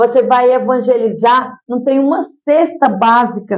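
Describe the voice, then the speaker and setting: A woman with a strong Piauí accent speaks in a high, animated voice. Her pace is fairly slow. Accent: Piauí accent, kept strong. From Piauí, Brazil. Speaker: social worker and mayoral candidate. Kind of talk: interview.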